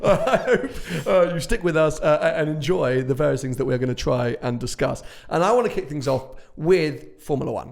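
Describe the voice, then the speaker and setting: A man in a British accent, at a moderate pace. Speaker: podcast host and automotive YouTuber. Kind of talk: casual chat. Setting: office showroom. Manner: hesitant, many fillers.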